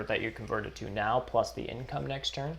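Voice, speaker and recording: A man mumbles his words. He talks at a moderate pace. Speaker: board game streamer. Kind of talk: live stream commentary. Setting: live stream. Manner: mumbling; casual, halting.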